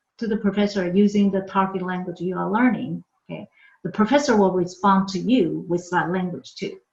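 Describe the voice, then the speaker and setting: This woman talks at a fairly quick pace with a medium pitch and a Chinese accent. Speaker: university language professor. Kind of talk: lecture. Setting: online workshop recorded from home. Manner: frequent filler 'okay'.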